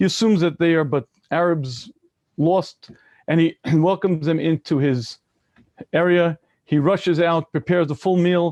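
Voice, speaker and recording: In a dry, close sound with no echo and a quiet background, a man with an American accent speaks at a moderate pace in a high voice with ordinary pitch variation. His loudness stays very even, and he leaves long, frequent pauses. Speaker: rabbi. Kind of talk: lecture.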